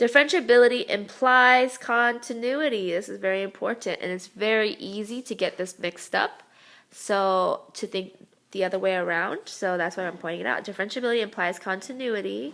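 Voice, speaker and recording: At a fairly quick pace, a woman speaks at medium pitch with ordinary pitch variation in a very clean recording with a silent background. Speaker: math teacher. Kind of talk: lecture. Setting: screencast recorded on a tablet. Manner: fast.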